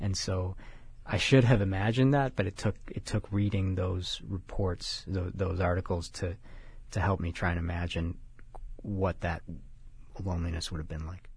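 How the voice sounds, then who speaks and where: Against a quiet background, a man with an American accent speaks at a very deep, low pitch in a somewhat breathy voice, with long, frequent pauses. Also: ordinary pitch variation, moderate pace. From Chicago. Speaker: writer. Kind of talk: interview. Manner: halting.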